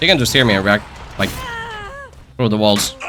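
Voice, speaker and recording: Bright and sharp in tone, a man speaks with a Finnish accent. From Finland. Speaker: gaming YouTuber. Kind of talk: gameplay commentary. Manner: repetitive filler-heavy speech; casual.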